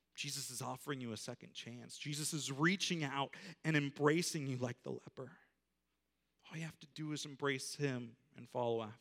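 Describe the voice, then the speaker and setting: In an ordinary speaking voice, the speaker keeps a moderate pace and fairly even intonation while the loudness swings widely. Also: man, fairly high pitch for a man. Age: young. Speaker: pastor. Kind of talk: sermon. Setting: church.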